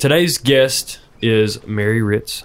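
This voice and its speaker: Pitch varies in an ordinary way while noticeable background noise runs underneath. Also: man. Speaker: podcast host. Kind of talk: interview. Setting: in person.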